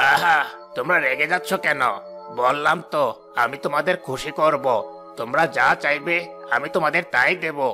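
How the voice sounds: A cartoonish character voice at a moderate pace with fairly even intonation, clear music in the background. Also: man, fairly high pitch for a man.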